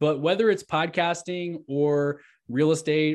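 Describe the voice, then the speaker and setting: A man with an unremarkable speaking voice talks at a fairly high pitch, with ordinary pitch variation. The background is quiet. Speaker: real estate agent and podcast host. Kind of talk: casual interview chat.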